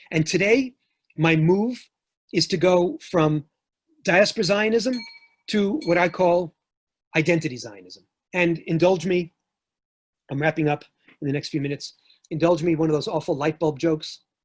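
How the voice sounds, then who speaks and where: A man in a New York accent, high-pitched with ordinary pitch variation, at a moderate pace broken by long, frequent pauses. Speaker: professor. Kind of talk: lecture.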